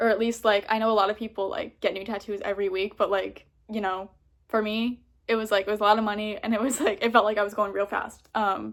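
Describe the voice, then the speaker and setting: Very fast and monotone with flat intonation, a woman talks in a fairly high pitch on a very clean recording with a silent background. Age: 20s. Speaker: vlogger. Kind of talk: casual chat. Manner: casual, many fillers.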